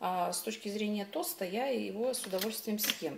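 Noticeable background noise sits behind a woman's speech. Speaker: home vlogger. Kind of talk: casual vlog chat. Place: kitchen. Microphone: phone near.

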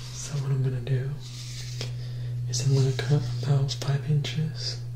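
Amid noticeable background noise, a soft-spoken man whispers at a very slow pace. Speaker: ASMR creator. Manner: soft close-mic ASMR whisper. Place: home room.

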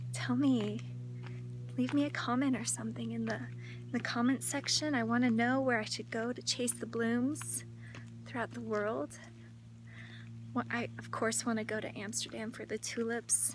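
A woman at a moderate pace with long, frequent pauses, dry sound with no echo, noticeable background noise. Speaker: lifestyle vlogger. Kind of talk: casual vlog chat. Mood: cheerful, enthusiastic. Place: open country. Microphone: phone near.

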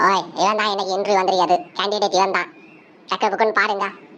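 A woman puts on a character voice at a medium pitch, talking at a fairly quick pace. Her intonation stays monotone and flat. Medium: comedy sketch. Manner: loud, bossy, interrupting.

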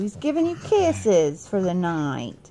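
A woman talks in a Southern US accent with a playful tone, her pitch swinging very widely. Light background noise sits underneath. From US South. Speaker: mother vlogger. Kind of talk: casual family chat. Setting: at home, on the bed. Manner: playful, laughing. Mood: playful, teasing. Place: home room. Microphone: phone near.

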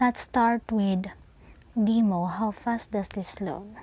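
The speech moves at a very slow pace, and there is noticeable background noise behind it. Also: woman. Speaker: tech reviewer. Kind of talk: casual phone game review narration.

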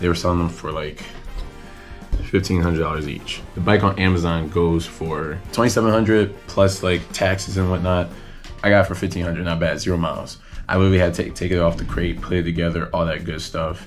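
A man talks at a fairly quick pace in a very deep, low voice. His intonation is monotone and flat, with faint music in the background. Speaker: motorcycle vlogger. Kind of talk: casual vlog chat. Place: home room. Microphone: phone near.

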